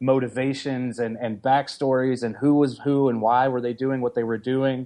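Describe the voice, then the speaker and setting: Against a quiet background, a man with an American accent speaks at a moderate pace in a medium pitch, his dark, mellow tone monotone and flat. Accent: Southern, comes out around Southerners. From US South, middle Tennessee. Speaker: comic anthology editor. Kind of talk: podcast interview.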